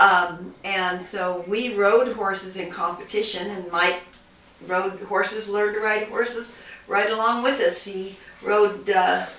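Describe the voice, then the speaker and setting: With noticeable noise behind her, a woman talks fairly slowly at a medium pitch with fairly even intonation. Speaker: grandmother. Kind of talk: casual family conversation.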